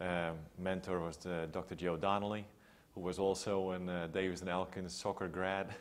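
A man with a Dutch accent, very deep and low in pitch, in a monotone, flat delivery at a moderate pace. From Netherlands, Amsterdam area. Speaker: public health researcher. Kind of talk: interview. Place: home room. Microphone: lapel.

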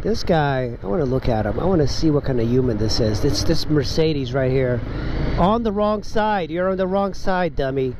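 A man's voice with very wide pitch swings, dry with no echo, over noticeable background noise. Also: moderate pace. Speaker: motorcycle vlogger. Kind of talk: casual vlog chat. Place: motorbike. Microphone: helmet.

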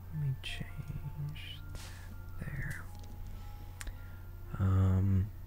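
Soft-spoken and at a very deep, low pitch, a man talks with ordinary pitch variation over music in the background. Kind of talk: ASMR gaming commentary.

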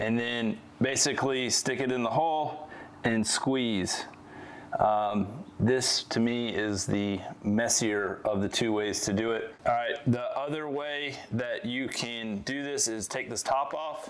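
Moving at a very slow pace, a man speaks with ordinary pitch variation. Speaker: presenter. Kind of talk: tutorial. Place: garage.

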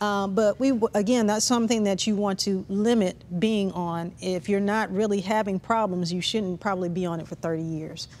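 With hardly any pauses, a woman talks at a moderate pace and a medium pitch with fairly even intonation. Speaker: breast surgical oncologist. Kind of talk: expert explanation on a panel. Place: studio. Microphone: lapel.

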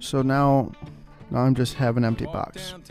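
The speech moves at a moderate pace with clear music behind it and a dry sound with no echo. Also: man. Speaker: radio DJ (student, in-house station). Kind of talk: country radio DJ joke banter. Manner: casual, humorous. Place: booth.

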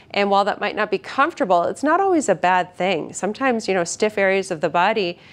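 The speaker here is a woman. She talks very fast. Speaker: physical therapist instructor. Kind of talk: tutorial. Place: gym. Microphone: lapel.

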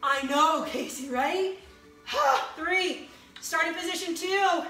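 A raised, projected voice with a bright, sharp tone and ordinary pitch variation, plus audible room echo. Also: woman. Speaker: fitness instructor. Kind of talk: live-streamed HIIT workout class with rhythmic rep cues and countdowns. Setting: video livestream on a social media group. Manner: encouraging, pushy motivator urging through the burn. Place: home room. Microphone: phone near.

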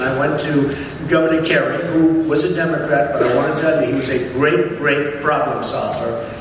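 A man's fairly even intonation amid noticeable background noise and strong room echo. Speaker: speaker. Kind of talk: after-dinner speech. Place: hall. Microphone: camera far.

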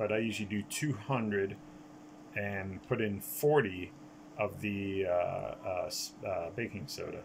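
Fairly low pitch and a somewhat breathy quality in a man's voice. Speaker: gaming YouTuber. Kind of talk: gameplay commentary. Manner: halting, many fillers.

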